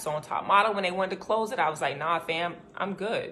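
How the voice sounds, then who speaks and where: A woman with an American accent speaks at a fairly quick pace in a fairly low voice, her tone animated. Her pitch moves in an ordinary way, and noticeable background noise runs underneath. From US South, Little Rock, Arkansas. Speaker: former reality show contestant. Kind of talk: personal statement to camera.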